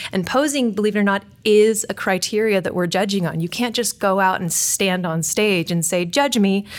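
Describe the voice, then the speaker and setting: At a medium pitch with ordinary variation, a woman talks with hardly any pauses. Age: 30s. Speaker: fitness coach and editor, show co-host. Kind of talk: casual chat. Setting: studio. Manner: fast; animated.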